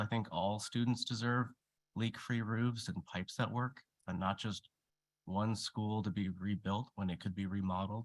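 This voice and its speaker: Fairly even intonation marks this speech in an Alaskan accent. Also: man. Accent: Alaskan American English. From Alaska, Anchorage. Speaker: public commenter. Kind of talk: public testimony. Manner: halting.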